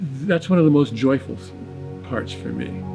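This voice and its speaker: Lively intonation stands out against music in the background. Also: man. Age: 80s+. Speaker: documentary subject. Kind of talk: documentary interview answer.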